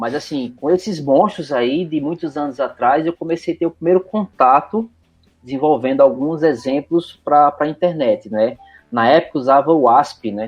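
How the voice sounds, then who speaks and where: A man with a Recife accent speaks at a moderate pace in a fairly high voice with ordinary pitch variation, music playing in the background. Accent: Pernambuco (Recife) Brazilian Portuguese. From Recife, northeast Brazil. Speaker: IT professional. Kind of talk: casual interview. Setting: remote call recording.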